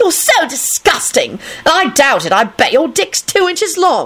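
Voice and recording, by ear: A woman does a put-on character voice at a high pitch with big pitch swings. Her tone is fairly bright, and her pace is fairly slow.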